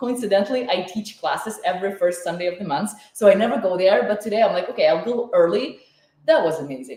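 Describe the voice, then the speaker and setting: Lively in intonation, a woman speaks at a medium pitch in a somewhat breathy voice. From Ukraine. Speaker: chef and cooking teacher. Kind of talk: live online cooking class. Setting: home kitchen, livestream. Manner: animated.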